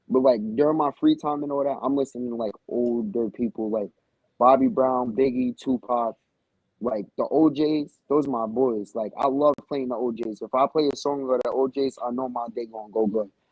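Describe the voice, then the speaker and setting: A man with a New York accent, medium pitch, fairly even intonation and a moderate pace. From Newburgh, New York. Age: 18. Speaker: rapper. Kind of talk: casual interview.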